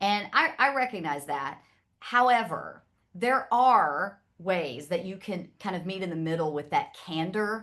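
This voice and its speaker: A woman with a Southern US accent speaks at medium pitch and a fairly slow pace, her intonation lively against a quiet background. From US South, Nashville, Tennessee. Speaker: communication speaker. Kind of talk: panel discussion.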